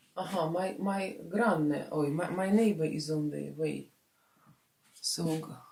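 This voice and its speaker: A woman's very deep, low pitch with ordinary pitch variation, at a very slow pace, with audible room echo. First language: Russian. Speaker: vlogger. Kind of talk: casual vlog talk. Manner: halting, many fillers.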